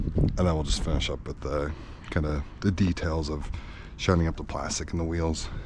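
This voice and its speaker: Noticeable background noise surrounds a man with a very deep, low pitch. He talks at a moderate pace with ordinary pitch variation. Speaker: car content creator. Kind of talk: casual vlog narration while washing car. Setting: outdoors.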